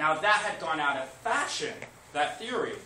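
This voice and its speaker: A man at a high pitch and fairly quick pace, with audible room echo and noticeable background noise. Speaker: high school teacher. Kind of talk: classroom lecture. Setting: classroom with students. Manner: fast.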